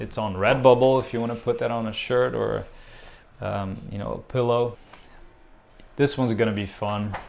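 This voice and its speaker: This man's pitch is medium and his intonation fairly even. He leaves long, frequent pauses. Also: moderate pace. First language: Portuguese. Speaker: visual artist. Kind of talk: casual vlog update. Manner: hesitant, many fillers.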